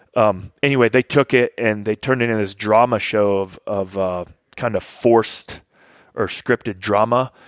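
A man with an ordinary speaking voice, a fairly low pitch and an American accent speaks at a moderate pace with fairly even intonation, the sound dry and close with no echo. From Kentucky, US (military family). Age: 40s. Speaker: Air Force veteran. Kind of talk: casual chat. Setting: hunting camp.

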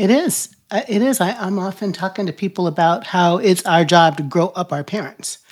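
This woman has a normal speaking voice at a medium pitch. She talks at a moderate pace with lively intonation. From United States, military family. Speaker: podcast host. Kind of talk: casual interview chat; show introduction.

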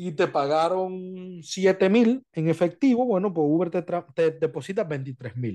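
A man's high-pitched yet dark, mellow tone, lively in intonation, at a very slow pace with hardly any pauses, over a quiet background. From Dominican Republic. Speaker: podcast host, Uber driver. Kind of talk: casual chat.

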